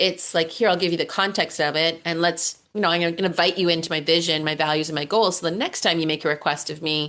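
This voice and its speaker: A woman's very fast, monotone delivery with flat intonation, a fairly low pitch and a bright, sharp tone. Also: hardly any pauses. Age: 50s. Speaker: entrepreneur and online community builder. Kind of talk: interview on a video call. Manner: casual, many fillers.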